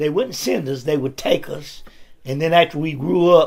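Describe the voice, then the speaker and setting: A man with an Appalachian accent speaks at a moderate pace. His fairly high pitch shows ordinary variation. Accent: Southern US (Appalachian North Carolina). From US South, North Carolina (Caldwell County). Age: 70s. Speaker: retired factory worker and pastor. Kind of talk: interview. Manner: halting.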